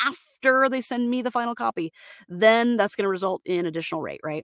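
A woman with an American accent and an unremarkable speaking voice talks at a fairly quick pace with lively intonation. The sound is dry and close, with no echo. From Florida, US. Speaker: voice actor. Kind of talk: solo podcast monologue, casual. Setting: home studio booth, sound-deadened. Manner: casual with frequent fillers.

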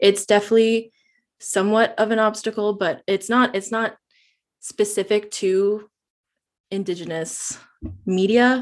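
A woman with a Canadian accent talks at a fairly slow pace and medium pitch, with long, frequent pauses. Her intonation is monotone and flat, over a quiet background. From Northwest Territories, Canada. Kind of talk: interview.

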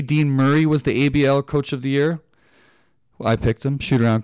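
A man with an unremarkable speaking voice talks in a Canadian accent at medium pitch and fairly even intonation. The very clean recording has a silent background and a dry, close sound with no echo. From Canada. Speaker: basketball podcast host. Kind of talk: solo sports podcast analysis. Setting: studio.

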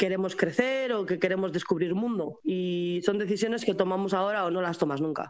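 A woman talks at a fairly quick pace with hardly any pauses, her pitch medium and its variation ordinary. Noticeable background noise runs underneath. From Spain. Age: 20s. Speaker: pastry chef and expat. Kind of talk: interview.

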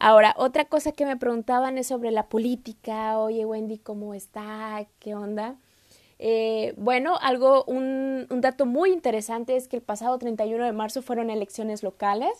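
This woman's fairly high voice moves at a moderate pace with fairly even intonation. The recording is very clean, with a silent background and a dry, close sound with no echo. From Mexico, Saltillo. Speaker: podcast host, exchange student. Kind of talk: solo podcast monologue. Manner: hesitant, many fillers.

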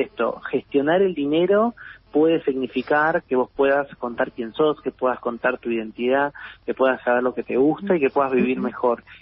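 Here is a man with a plain, everyday voice. His pitch is medium and his pace moderate. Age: 40s. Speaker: philosopher and writer. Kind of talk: interview.

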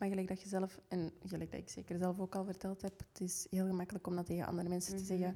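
Delivered at a very fast pace with a Flemish accent, the voice is dark and mellow, with flat, monotone intonation. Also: woman. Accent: Flemish Dutch. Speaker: podcast co-host. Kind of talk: casual chat.

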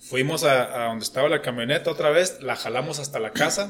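Lively intonation from a man with a northern Mexican accent, a fairly high pitch and a moderate pace. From Mexico, Coahuila. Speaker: engineer. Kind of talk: casual chat. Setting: drinking beers at a podcast session.

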